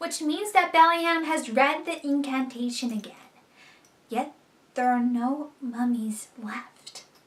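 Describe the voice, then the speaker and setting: Using a put-on character voice, a woman speaks at a high pitch. Her pace is fairly slow. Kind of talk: online review commentary. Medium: solo performance. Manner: wry, sarcastic.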